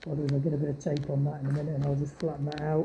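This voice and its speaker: A very fast pace with a British accent. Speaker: car DIY vlogger. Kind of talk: casual DIY vlog narration. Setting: home garage. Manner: casual, relaxed.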